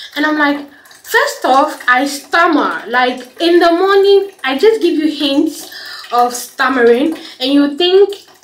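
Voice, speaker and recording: A high-pitched woman at a very slow pace, lively in her intonation, over noticeable background noise. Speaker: vlogger. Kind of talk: casual vlog chat. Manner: halting, stammering.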